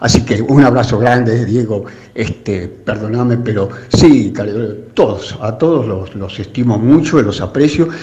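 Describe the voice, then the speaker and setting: Against noticeable background noise, the voice moves at a fairly slow pace with ordinary pitch variation. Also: man, medium pitch for a man. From Buenos Aires suburbs, Argentina. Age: 80s+. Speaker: radio listener. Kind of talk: casual chat. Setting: phone call.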